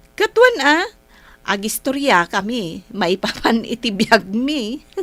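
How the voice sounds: A woman's put-on character voice, fairly high and fairly bright, slow, with big pitch swings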